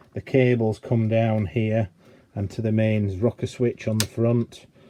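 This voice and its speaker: A man with an English accent talks at a moderate pace and medium pitch. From England. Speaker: electronics repair technician. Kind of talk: tutorial. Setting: workbench. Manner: casual, hesitant with fillers.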